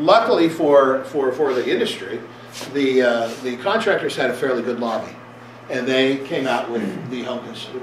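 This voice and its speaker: Fairly quick speech amid noticeable background noise and audible room echo. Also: man. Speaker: attorney presenting a seminar. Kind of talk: seminar lecture. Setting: seminar room with audience. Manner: fast; halting, many repetitions and fillers.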